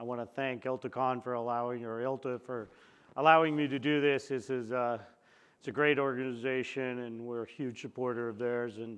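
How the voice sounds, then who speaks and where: In a monotone, flat intonation, a man speaks at a medium pitch and a moderate pace. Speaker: company CEO giving keynote. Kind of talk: conference presentation. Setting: conference room with audience. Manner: loud; casual, conversational.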